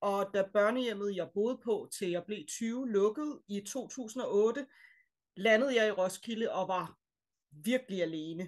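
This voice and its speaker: At a fairly slow pace, a woman speaks with a fairly high pitch. Her pitch varies in an ordinary way against a quiet background. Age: 30s. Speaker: choir member sharing personal story. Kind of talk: personal testimony. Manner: hesitant, many fillers.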